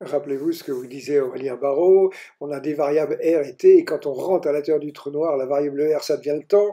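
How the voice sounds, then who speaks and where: The man's voice is fairly high in pitch with a dark, mellow tone. He keeps a moderate pace and fairly even intonation. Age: 80s+. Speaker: physicist explaining his model. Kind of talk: lecture.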